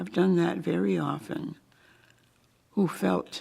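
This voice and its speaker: Speaking at a fairly slow pace in an American accent, a woman lets her pitch swing very widely. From Connecticut, US (Putnam). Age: 90s. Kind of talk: oral history interview.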